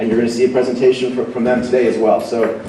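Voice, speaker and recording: There is audible room echo and noticeable background noise. A man speaks at medium pitch with ordinary pitch variation. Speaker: tech company presenter. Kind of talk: conference keynote presentation. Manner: fast; animated.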